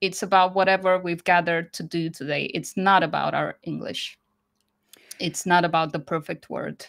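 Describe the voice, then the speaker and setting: Woman's fairly low voice in a Croatian accent, monotone and flat, in a very clean recording with a silent background. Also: moderate pace. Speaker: business English educator. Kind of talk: interview.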